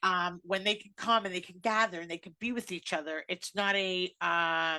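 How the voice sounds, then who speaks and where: With big swings in loudness, a woman speaks in a bright, sharp tone at a medium pitch and a moderate pace. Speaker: radio show host. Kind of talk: casual chat. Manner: animated.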